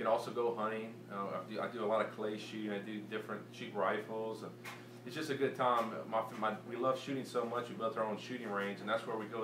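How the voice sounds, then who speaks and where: A man with a Cajun accent, fairly low in pitch, talking at a very fast pace with fairly even intonation, amid audible room echo and noticeable background noise. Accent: Cajun Louisiana English. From Louisiana, Cajun country (New Iberia). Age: 20s. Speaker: competitive pistol shooter. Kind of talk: audition self-introduction. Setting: shooting range. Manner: unscripted, halting with repetitions.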